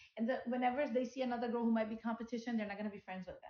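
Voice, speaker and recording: A woman talks at a very fast pace in a monotone with flat intonation. Her pitch is fairly high. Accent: Punjabi. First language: Punjabi. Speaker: podcast co-host. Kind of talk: casual chat.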